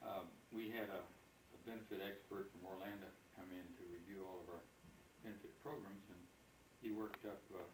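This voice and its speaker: A man talks at a fairly quick pace in a fairly low, somewhat breathy voice with fairly even intonation. There are long, frequent pauses and audible room echo. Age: 70s. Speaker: retired company officer, birthday honoree. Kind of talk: speech at family birthday party.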